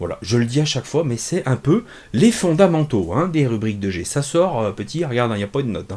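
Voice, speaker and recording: A dark, mellow tone at a fairly quick pace, with very wide pitch swings. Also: man, medium pitch for a man. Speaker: comics reviewer. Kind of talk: casual review monologue. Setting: home office. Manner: hesitant, many fillers; relaxed.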